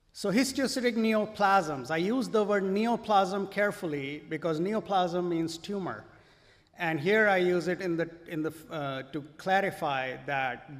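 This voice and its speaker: A man's high voice with lively intonation and audible room echo. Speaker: physician. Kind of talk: lecture.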